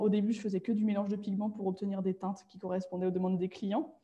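A woman speaks in a somewhat breathy voice. Her tone is dark and mellow. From France, Nantes region countryside. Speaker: designer. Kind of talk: interview.

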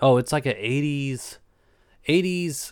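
A man speaks with an Appalachian accent. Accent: Appalachian US Southern. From Eastern Kentucky. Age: 20s. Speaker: podcast host. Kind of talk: casual chat.

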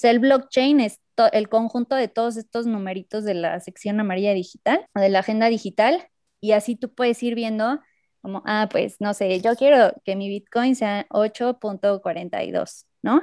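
With a dark, mellow tone and fairly high pitch, a woman speaks at a fairly slow pace in a dry, close sound with no echo, on a very clean recording with a silent background. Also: ordinary pitch variation. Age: 20s. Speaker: biotechnology engineering student. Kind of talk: casual improvised chat.

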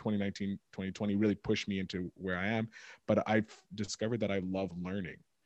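A man's fairly low voice, dry and close with no echo, over a quiet background. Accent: Montreal. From Montreal, Quebec, Canada. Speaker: podcast host and producer. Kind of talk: casual interview chat. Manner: animated, many fillers and self-interruptions.

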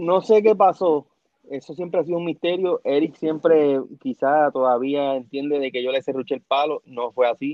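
A man's plain, everyday voice, fairly high in pitch with ordinary variation, at a moderate pace. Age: 40s. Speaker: former wrestling TV personality. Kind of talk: casual interview.

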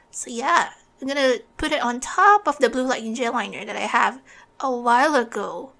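Projecting a raised voice with a bright, sharp tone, a woman talks at a moderate pace in a high pitch, her intonation lively and her loudness swinging widely. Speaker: podcast co-host. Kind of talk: casual chat with makeup review.

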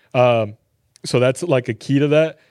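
Against a quiet background, a man with an American accent speaks in a normal speaking voice with fairly even intonation. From Texas, Garland (Dallas area). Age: 20s. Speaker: sneaker store employee and reseller. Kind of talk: casual chat.

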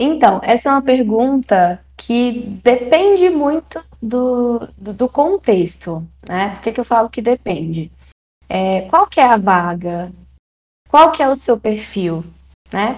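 Very slowly, a woman talks in a fairly high pitch that swings very widely. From Brazil, Maranhão. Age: 20s. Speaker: tech recruiter, psychologist. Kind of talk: interview.

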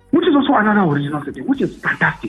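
A man races along at a very fast pace with very wide pitch swings as music plays in the background. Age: 30s. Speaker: businessman and former presidential aspirant. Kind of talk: interview. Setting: phone call.

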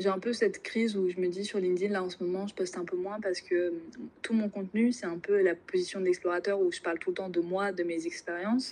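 Here is a plain, everyday voice, a woman's at medium pitch. She goes at a fairly quick pace with fairly even intonation. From Normandy, France. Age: 20s. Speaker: business school student. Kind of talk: casual interview.

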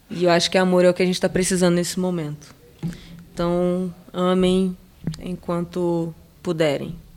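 Over background music, a woman speaks at a moderate pace with a fairly low pitch. Her intonation is monotone and flat, broken by long, frequent pauses. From Brazil, moved around São Paulo state and Macaé. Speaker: skateboarder. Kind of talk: casual interview.

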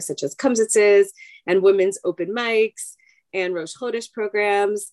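A woman of medium pitch speaks with an American accent at a moderate pace, in an unremarkable speaking voice. The recording is dry and close with no echo. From US Northeast, Long Island, New York. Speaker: rabbi's wife and psychologist. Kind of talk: interview.

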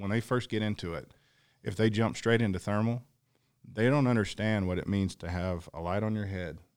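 On a very clean recording with a silent background, a man has a plain, everyday voice at fairly low pitch with ordinary pitch variation. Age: 40s. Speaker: predator hunter and hunting show filmmaker.

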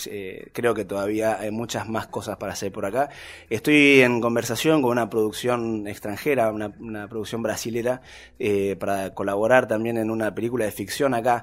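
A man talks at a moderate pace in a medium pitch. His intonation stays fairly even. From Argentina, Tierra del Fuego (Río Grande). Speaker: documentary filmmaker. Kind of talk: interview conversation. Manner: hesitant, many fillers.

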